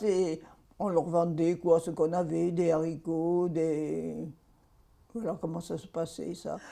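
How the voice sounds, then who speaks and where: The delivery is very slow, flat and monotone. The tone is dark and mellow. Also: woman. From Provence, southern France. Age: 90s. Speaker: WWII witness. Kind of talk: testimony.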